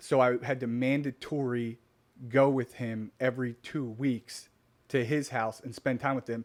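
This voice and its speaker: A man with an American accent speaks at a moderate pace in a monotone, flat intonation, on a very clean recording with a silent background. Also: medium pitch for a man. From Delaware, US. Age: 30s. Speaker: business owner. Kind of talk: interview.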